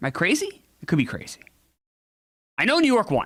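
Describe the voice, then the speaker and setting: A man's raised, projected voice, bright and sharp in tone, at a very fast pace with very wide pitch swings. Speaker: streamer playing a basketball video game. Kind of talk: casual live stream commentary. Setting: live stream with chat.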